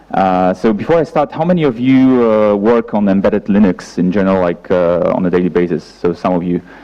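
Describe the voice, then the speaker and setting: A man talks at a fairly quick pace with hardly any pauses, his pitch fairly low and his loudness very even. Noticeable background noise runs behind him. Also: lively intonation. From Poland. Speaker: software engineer, conference speaker. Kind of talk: conference talk. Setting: stage with audience. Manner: halting, many fillers.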